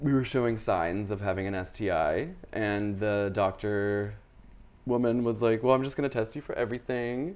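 An ordinary speaking voice in an American accent, moving at a moderate pace with ordinary pitch variation. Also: man, medium pitch for a man. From US South, Charlotte, North Carolina. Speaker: artist. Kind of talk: casual interview about personal life. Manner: casual, with fillers and laughter.

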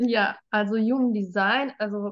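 A woman with an unremarkable speaking voice talks at a medium pitch with ordinary pitch variation against a quiet background. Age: 40s. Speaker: human design and life coach. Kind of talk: interview conversation.

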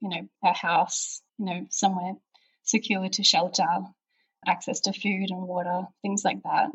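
A woman with an Australian accent talks at a moderate pace and medium pitch, with a somewhat breathy voice and fairly even intonation. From Melbourne, Australia. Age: 30s. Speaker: pregnant podcast guest. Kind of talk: casual interview.

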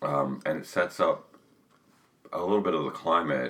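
Over noticeable background noise, a man speaks at a moderate pace in an American accent. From US South. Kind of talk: casual conversation.

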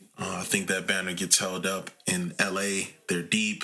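A man with a very deep, low voice talks at a moderate pace. Noticeable background noise runs underneath. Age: 20s. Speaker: sports podcast host. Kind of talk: casual commentary monologue.

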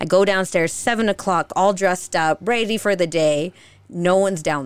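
A normal speaking voice with an American accent and ordinary pitch variation. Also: woman. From Utah, of Mexican parents. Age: 30s. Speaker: food content creator. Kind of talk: casual chat.

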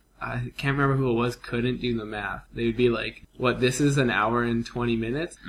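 Over noticeable background noise, a man with a medium-pitched voice speaks fairly quickly in a flat monotone. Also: hardly any pauses. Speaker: podcast co-host.

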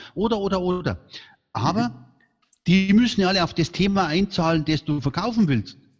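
Lively intonation marks this man's high-pitched voice at a fairly quick pace. He leaves long, frequent pauses. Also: quiet background. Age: 60s. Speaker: speaker agency founder. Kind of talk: interview. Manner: animated.

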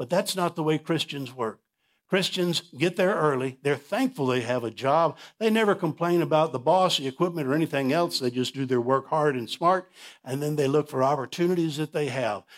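Recorded very cleanly against a silent background, a man with an ordinary speaking voice talks at a fairly quick pace in a fairly high pitch with ordinary pitch variation. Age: 60s. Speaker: pastor. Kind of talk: sermon. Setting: church.

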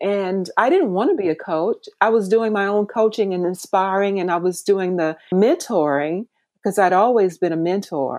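A woman speaks with an American accent in a normal speaking voice. Her pitch is medium, with ordinary pitch variation at a moderate pace. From US South, rural Mississippi. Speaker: life coach. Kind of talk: interview.

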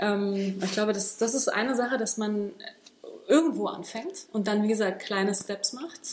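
Through noticeable background noise, a woman speaks at a moderate pace in a fairly high pitch with ordinary pitch variation. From Berlin, Germany. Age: 30s. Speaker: martial arts and fitness trainer. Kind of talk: casual interview. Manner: halting, many fillers.

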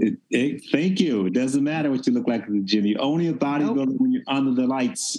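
A fairly high-pitched man with an American accent and a dark, mellow tone, at a fairly quick pace with hardly any pauses and very even loudness. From US South, Memphis, Tennessee. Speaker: bodybuilder. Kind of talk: casual chat. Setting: video call.

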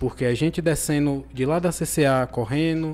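In a plain, everyday voice, a man speaks with fairly high pitch and fairly even intonation. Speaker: podcast host. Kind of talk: sponsor read; casual interview.

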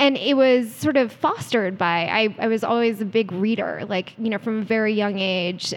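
A woman speaks with an American accent in a plain, everyday voice. Her pitch is fairly high, with ordinary variation, and her pace is moderate. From US East Coast, DC area. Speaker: startup CEO. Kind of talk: interview.

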